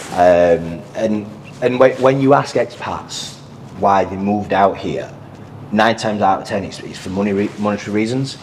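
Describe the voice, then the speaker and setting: With a Yorkshire accent, a man of fairly low pitch speaks at a moderate pace with ordinary pitch variation and big swings in loudness, over noticeable background noise. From northern England, Sheffield, Yorkshire. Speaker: financial advisor. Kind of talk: podcast interview.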